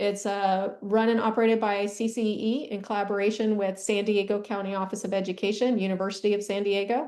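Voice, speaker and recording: A woman talks at a fairly quick pace with hardly any pauses. Her tone is dark and mellow, and her intonation is monotone and flat. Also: medium pitch for a woman. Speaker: education administrator presenting a session. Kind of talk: conference presentation. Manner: fast.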